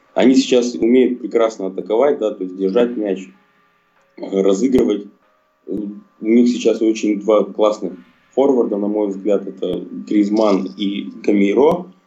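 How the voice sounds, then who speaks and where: Pausing long and often, a man with a fairly low voice speaks at a fairly slow pace with ordinary pitch variation. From Russia, Chelyabinsk. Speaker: football fan. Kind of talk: casual chat.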